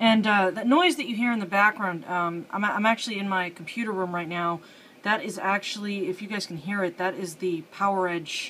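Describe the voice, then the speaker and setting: A woman's voice at a fairly quick pace, with ordinary pitch variation and light background noise. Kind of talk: casual tutorial commentary. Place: home room. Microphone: phone near.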